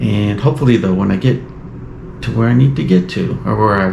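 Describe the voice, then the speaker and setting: Audible room echo and noticeable background noise surround a man talking at a fairly quick pace in a relaxed tone. His pitch is very deep and low, with very wide pitch swings. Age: 60s. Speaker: outdoor vlogger. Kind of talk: casual vlog talk to camera. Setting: outdoors on a trail. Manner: relaxed, hesitant with fillers.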